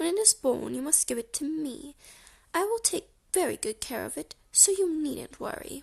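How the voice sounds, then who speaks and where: At a moderate pace, a woman does a put-on character voice pitched high. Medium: read story. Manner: possessive, sly.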